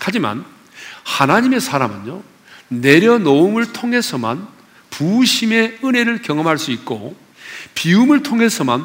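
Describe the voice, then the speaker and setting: Over noticeable background noise, a man speaks at a fairly slow pace. His high voice moves in very wide pitch swings. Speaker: pastor. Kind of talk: sermon. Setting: church. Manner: animated.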